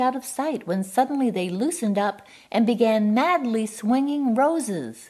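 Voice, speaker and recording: Using lively intonation at a moderate pace, a woman talks in an unremarkable speaking voice. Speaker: poetry reader. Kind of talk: poetry reading.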